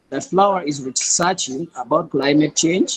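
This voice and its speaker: The man's voice sits at a fairly high pitch for a man. He keeps a moderate pace with ordinary pitch variation. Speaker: student presenter. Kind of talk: class presentation. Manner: hesitant, with fillers; quiet. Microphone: too quiet.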